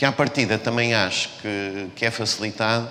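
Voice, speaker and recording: A man speaks at a moderate pace, with audible room echo and noticeable background noise in the recording. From Portugal, Porto. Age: 60s. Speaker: business executive. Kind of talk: talk to students. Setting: stage with audience. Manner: halting, many repetitions and fillers.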